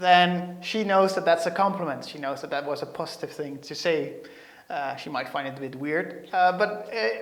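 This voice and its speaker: With a slight Dutch accent, a man speaks at a high pitch and a moderate pace, his loudness swinging widely while his pitch varies in an ordinary way. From Netherlands. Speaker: software developer; presenter. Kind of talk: tech tutorial. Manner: hesitant, many fillers. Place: studio. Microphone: lapel.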